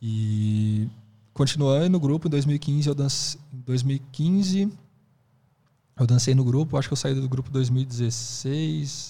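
This man has a dark, mellow tone and a medium pitch, somewhat breathy. He speaks at a very slow pace with ordinary pitch variation. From Brazil, Presidente Prudente (São Paulo state). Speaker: hip hop dance teacher. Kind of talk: casual interview chat.

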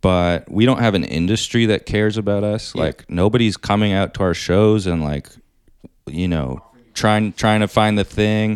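With ordinary pitch variation and a fairly low pitch, a man uses a plain, everyday voice at a moderate pace. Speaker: stand-up comedian. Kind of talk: casual chat.

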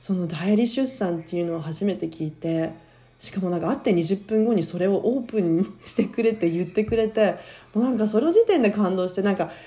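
Speaking at a fairly quick pace, a woman keeps a medium pitch with ordinary pitch variation. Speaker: podcast host. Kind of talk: casual chat. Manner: loud.

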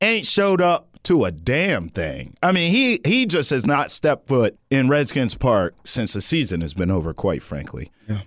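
An animated voice with vocal fry, very wide pitch swings and hardly any pauses at a moderate pace. The recording is very clean and dry, close with no echo, over a silent background. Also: man, medium pitch for a man. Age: 30s. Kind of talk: casual chat. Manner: animated, jokey.

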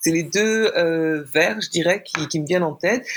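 A woman with an unremarkable speaking voice and a fairly low pitch. Her intonation is lively, and the recording is very clean with a silent background. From France. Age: 40s. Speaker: poet. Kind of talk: interview.

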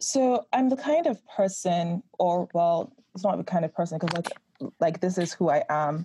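A woman's somewhat breathy, dark and mellow voice sits at a fairly low pitch, with lively intonation, a moderate pace, very even loudness, and a dry, close sound with no echo. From Nigeria. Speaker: writer and script inventor. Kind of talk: interview.

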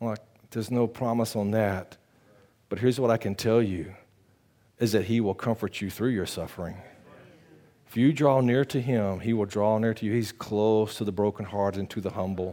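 Recorded very cleanly with a silent background, a man speaks at a moderate pace in a dark, mellow tone and fairly low pitch, leaving long, frequent pauses. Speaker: pastor. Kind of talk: sermon. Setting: church. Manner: animated.

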